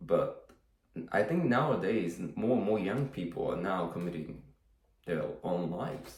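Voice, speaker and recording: Audible room echo carries a man's voice, which has lively intonation. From Japan. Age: 30s. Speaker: fishing vlogger. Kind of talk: casual vlog monologue. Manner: halting, many fillers and repetitions.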